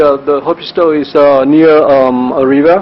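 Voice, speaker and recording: Here a man talks at a fairly high pitch. Noticeable background noise sits behind him. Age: 60s. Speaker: anesthesiologist. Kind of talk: conference talk. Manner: halting, many fillers.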